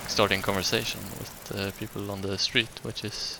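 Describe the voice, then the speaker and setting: A man with a Swedish accent, against noticeable background noise. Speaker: gaming YouTuber. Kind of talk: casual gameplay commentary. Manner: hesitant, many fillers.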